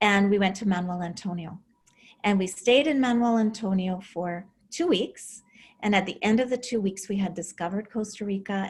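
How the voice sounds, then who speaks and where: A woman's somewhat breathy, medium-pitched voice in a Canadian accent, at a moderate pace with ordinary pitch variation, on a very clean recording with a silent background. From Alberta, Canada. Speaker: relocation and real estate consultant. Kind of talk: interview.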